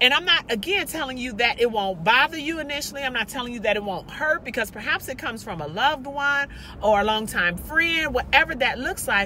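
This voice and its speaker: A loud woman speaks with high pitch, very wide pitch swings and an animated tone. She barely pauses, and noticeable background noise is present. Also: fairly quick pace. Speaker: motivational vlogger. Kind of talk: motivational monologue. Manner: loud, animated.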